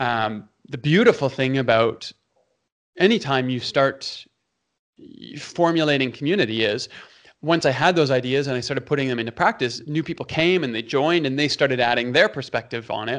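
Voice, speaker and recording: A man with a Canadian accent speaks at a moderate pace in a normal speaking voice, medium in pitch with ordinary pitch variation, over a quiet background. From Canada, Toronto. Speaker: pastor. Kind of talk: interview conversation.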